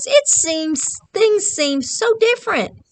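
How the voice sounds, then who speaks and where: Putting on a character voice, a woman squeaks at an extremely high pitch and a fairly slow pace. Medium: read story. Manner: wondering, questioning.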